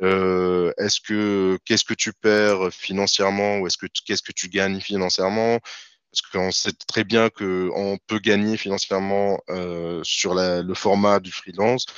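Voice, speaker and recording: In a monotone, flat delivery, a man with a fairly low pitch speaks at a fairly slow pace. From Tunisia, Tunis. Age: 30s. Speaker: freelance IT developer. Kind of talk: interview.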